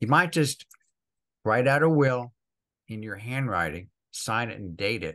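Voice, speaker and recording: Against a quiet background, a man with an American accent speaks in a bright, sharp tone. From US Northeast, northern New Jersey. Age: 70s. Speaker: financial advice guest. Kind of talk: interview. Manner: fast.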